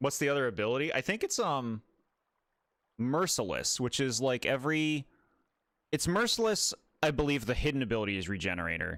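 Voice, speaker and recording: A loud man's fairly high voice at a fairly quick pace, with very wide pitch swings and long, frequent pauses, in a very clean recording with a silent background. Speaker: gaming streamer. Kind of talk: casual livestream commentary. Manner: casual, chatty.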